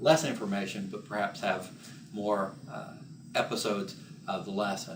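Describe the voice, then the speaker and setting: A man with lively intonation speaks at a moderate pace, with audible room echo and noticeable background noise. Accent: American. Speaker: teacher. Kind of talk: lecture.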